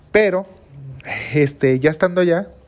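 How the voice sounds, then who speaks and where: A man with a Mexican accent and ordinary pitch variation. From Mexico. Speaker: entrepreneur, seafood trader. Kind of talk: personal storytelling monologue.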